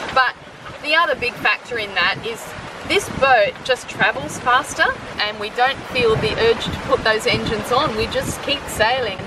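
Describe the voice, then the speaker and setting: A woman's high-pitched voice with ordinary pitch variation, dry with no echo, over noticeable background noise. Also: moderate pace. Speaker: sailing travel vlogger. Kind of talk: casual vlog chat. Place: boat. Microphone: phone near.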